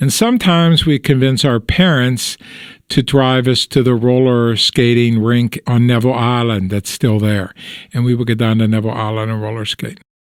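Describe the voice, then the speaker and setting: A man with a Western Pennsylvania accent talks at a moderate pace, his medium pitch showing ordinary variation. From Pittsburgh, Pennsylvania. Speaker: oral history interviewee. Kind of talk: interview answer. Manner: relaxed, conversational.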